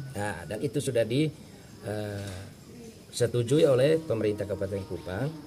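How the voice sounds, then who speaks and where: A man's fairly low, somewhat breathy voice with a dark, mellow tone, at a moderate pace with long, frequent pauses. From Flores (Manggarai), raised in Timor, Indonesia. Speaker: acting village head. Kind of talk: interview. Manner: halting, many fillers.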